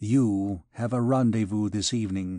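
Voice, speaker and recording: A man puts on a character voice, fairly low in pitch, with fairly even intonation. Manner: ominous.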